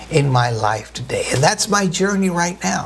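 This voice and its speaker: The intonation is lively. Audible room echo and noticeable background noise surround the voice. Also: man. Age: 60s. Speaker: pastor. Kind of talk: sermon.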